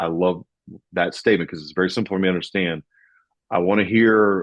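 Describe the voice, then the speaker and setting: A man with a Southern US accent speaks at a very deep, low pitch with fairly even intonation. The background is quiet. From US South. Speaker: financial podcast host. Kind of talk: casual discussion. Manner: slow.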